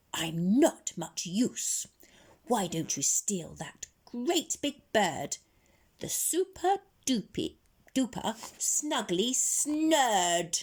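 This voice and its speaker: A put-on character voice, female-sounding, fairly high-pitched, raised and projected, with very wide pitch swings at a very slow pace. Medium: read story.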